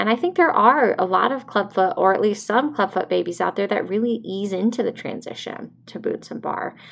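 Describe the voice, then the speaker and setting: With vocal fry and lively intonation, a woman talks at a moderate pace. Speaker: podcast host, mother of a baby with clubfoot. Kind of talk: personal monologue podcast. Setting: home recording. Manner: casual, with fillers and restarts.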